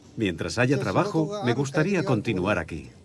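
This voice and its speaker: A man talks at a medium pitch with noticeable background noise. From Japan. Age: 70s. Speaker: retired manager now working. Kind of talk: interview.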